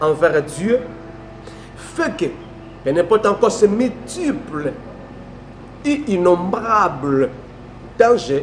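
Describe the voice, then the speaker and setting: With music in the background, a man with a high pitch speaks very slowly, his pitch swinging very widely. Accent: Congolese. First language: Lingala (speaking French). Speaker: preacher. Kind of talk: sermon.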